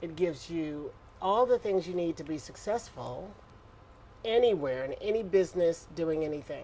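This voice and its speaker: This woman has a fairly low pitch and an American accent. She talks at a moderate pace with lively intonation. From Houston, Texas. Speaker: retired ballet dancer, arts educator. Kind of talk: casual interview chat. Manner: animated.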